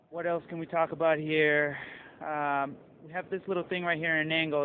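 The speech moves at a moderate pace, with a dry sound that has no echo and light background noise. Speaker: presenter. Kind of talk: product presentation.

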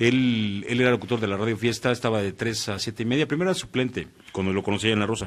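A man speaks at a very fast pace. His pitch is medium, with ordinary pitch variation. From Mexico, Morelos; Mexico. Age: 40s. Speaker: radio announcer. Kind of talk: casual interview chat. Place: studio. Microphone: studio mic.

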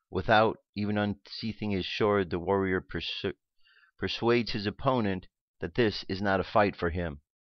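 With a quiet background and a dry sound with no echo, a man speaks at a moderate pace in a fairly low pitch. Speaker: radio host. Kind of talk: guided meditation. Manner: gentle, measured pacing with pauses. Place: home room. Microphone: headset.

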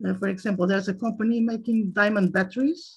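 A somewhat breathy woman speaks in a Portuguese accent with fairly even intonation. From Portugal. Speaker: chemical researcher; guest lecturer. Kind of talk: lecture. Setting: video call. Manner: halting, many fillers. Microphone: video call.

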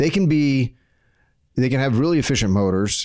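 In a quiet background, a man speaks with lively intonation. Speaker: podcast co-host. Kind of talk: podcast discussion. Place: studio. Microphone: studio mic.

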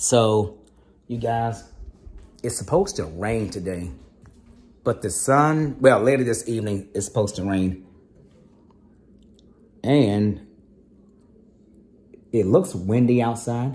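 At a very slow pace, a somewhat breathy man speaks with long, frequent pauses. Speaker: vlogger. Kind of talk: casual vlog chat. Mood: relaxed, upbeat. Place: home room. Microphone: phone near.

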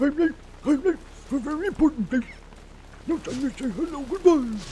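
The voice is a put-on character voice with a high pitch. Clear background noise can be heard. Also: moderate pace.

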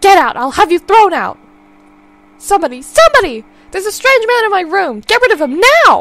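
In a put-on character voice, a woman shouts in a raised, projected voice at an extremely high pitch with very wide pitch swings. Her pace is fairly quick, broken by long, frequent pauses. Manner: screaming in panic.

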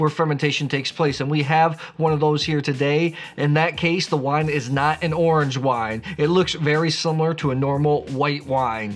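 A man speaks at a very even loudness with fairly even intonation, faint music playing in the background. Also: moderate pace, hardly any pauses. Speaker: wine educator host. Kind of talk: educational explainer to camera. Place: home room.

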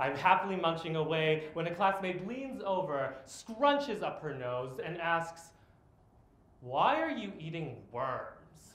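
A man speaks at a very slow pace, with audible room echo. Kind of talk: spoken-word poetry performance. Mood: earnest, reflective. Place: stage. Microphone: camera far.

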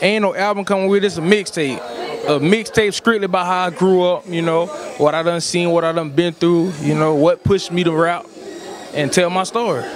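A man's high-pitched voice with fairly even intonation, dry with no echo, over crowd noise in the background. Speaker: interviewee. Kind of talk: interview answer. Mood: relaxed, smiling. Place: hall. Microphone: handheld.

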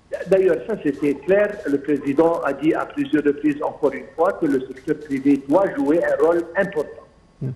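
A man with a fairly high pitch talks at a moderate speed against noticeable background noise. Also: ordinary pitch variation. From Egypt. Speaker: economics expert. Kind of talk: TV interview. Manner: halting, repetitive.

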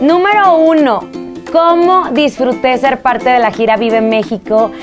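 A woman speaks with very wide pitch swings over clear music in the background. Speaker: TV and radio host. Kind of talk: casual talk to camera. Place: studio.

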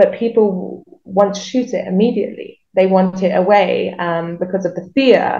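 A woman with a dark, mellow, somewhat breathy voice speaks at a moderate pace with hardly any pauses. Her intonation stays fairly even over a quiet background. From southern England, Reading near London; southern England. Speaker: wildlife rehabilitator. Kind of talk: interview. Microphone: video call.

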